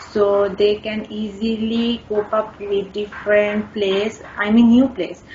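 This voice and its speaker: A woman's fairly high voice, very slow and monotone with flat intonation, hardly any pauses, and noticeable background noise. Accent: Bangladeshi. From Bangladesh. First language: Bengali. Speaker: IELTS test candidate. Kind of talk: speaking exam interview. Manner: halting.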